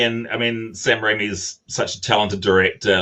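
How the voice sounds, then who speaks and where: With a New Zealand accent and a bright, sharp tone, a man talks at medium pitch and a moderate pace. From New Zealand, small mining town. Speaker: film director. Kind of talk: interview. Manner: halting, many fillers and repetitions.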